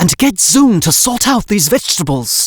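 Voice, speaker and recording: In a put-on character voice, a man speaks high in pitch at a moderate pace with very wide pitch swings, the sound dry and close with no echo. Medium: read story. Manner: curt, impatient, bossy.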